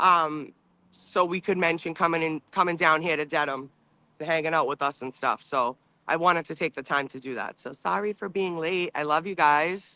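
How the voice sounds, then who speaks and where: The tone is bright and sharp, with ordinary pitch variation. The recording is very clean, with a silent background and a dry, close sound with no echo. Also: woman, fairly low pitch for a woman, moderate pace. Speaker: livestream co-host. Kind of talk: casual chat.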